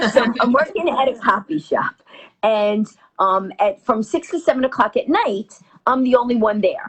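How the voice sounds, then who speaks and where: A woman speaks in a New York accent with a high pitch. Her tone is animated and her intonation lively. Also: moderate pace. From New York, Queens. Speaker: comedian. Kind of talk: storytelling in interview.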